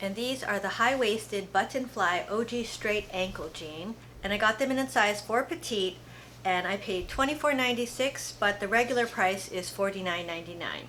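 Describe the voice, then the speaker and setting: This woman's voice sits at a medium pitch. Her tone is bright and sharp. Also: ordinary pitch variation, moderate pace. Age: 50s. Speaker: fashion haul vlogger. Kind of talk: casual product review. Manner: relaxed, chatty.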